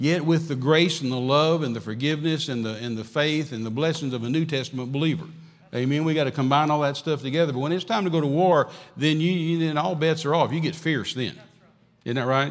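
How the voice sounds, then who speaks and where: A man with a Texan accent, fairly high-pitched, talking very fast with ordinary pitch variation. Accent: Texan Southern US. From West Texas. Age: 60s. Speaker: traveling evangelist. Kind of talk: sermon. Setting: church. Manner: animated.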